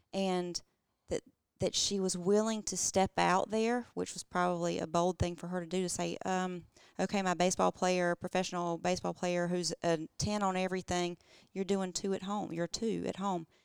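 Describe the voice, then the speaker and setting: At a moderate pace and medium pitch, a woman talks in a very clean recording with a silent background and a dry, close sound with no echo. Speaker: podcast co-host. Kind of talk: casual interview. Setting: guests' living room. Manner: warm, enthusiastic.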